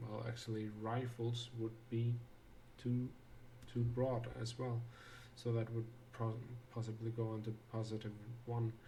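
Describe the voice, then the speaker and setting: At a fairly slow pace and a medium pitch, a man speaks in a flat monotone with long, frequent pauses as audible room echo surrounds him. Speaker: game designer streaming a tutorial. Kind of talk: live stream tutorial. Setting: live stream. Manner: halting, many fillers; quiet, half-whispering to himself.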